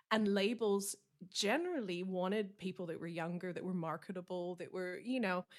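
A normal speaking voice from a woman, medium-pitched, with fairly even intonation and a moderate pace. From Canada. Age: 40s. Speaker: country singer-songwriter. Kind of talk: casual interview.

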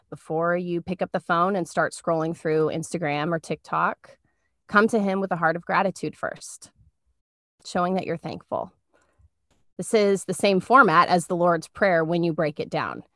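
This woman has a plain, everyday voice, fairly low in pitch, with fairly even intonation and a moderate pace. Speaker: podcast co-host. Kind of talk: casual faith talk. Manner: warm, conversational.

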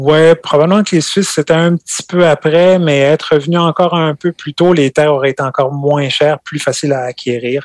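Fairly high in pitch, a man talks at a fairly quick pace with hardly any pauses and fairly even intonation, the sound dry and close with no echo. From France, Normandy (Calvados). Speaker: farmer. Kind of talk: casual interview.

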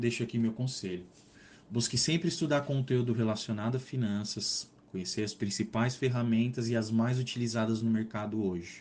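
A man with an unremarkable speaking voice talks at a moderate pace, his pitch medium with ordinary pitch variation. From Brazil, São Paulo state. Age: 30s. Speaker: finance professional. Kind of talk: interview.

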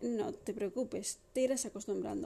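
A woman with a Madrid accent talks at a fairly slow pace, her fairly high voice dark and mellow in tone. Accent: Castilian Spanish (Madrid). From Madrid, Spain. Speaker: podcast host. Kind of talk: casual monologue.

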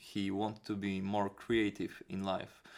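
With a strong Polish accent, a man speaks at a fairly low pitch on a very clean recording with a silent background. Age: 20s. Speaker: kickboxing trainer and musician. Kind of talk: casual interview chat. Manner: halting, searching for words.

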